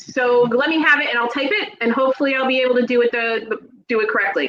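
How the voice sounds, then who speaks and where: With a New Jersey accent, a woman speaks fairly quickly at a high pitch with ordinary pitch variation. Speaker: paranormal channel host, speech therapist. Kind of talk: casual interview chat. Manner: halting, many fillers.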